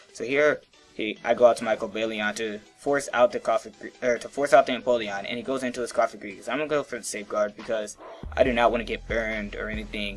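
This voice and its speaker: A man races through his words very fast as noticeable noise fills the background. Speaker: gaming YouTuber. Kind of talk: gameplay commentary. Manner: quieter than usual; less excited than usual.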